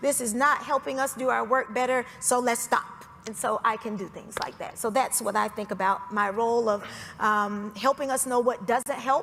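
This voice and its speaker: With music in the background, a woman with an American accent speaks in a fairly high voice and fairly even intonation. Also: moderate pace. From Georgia, US South. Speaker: foundation executive. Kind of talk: panel discussion.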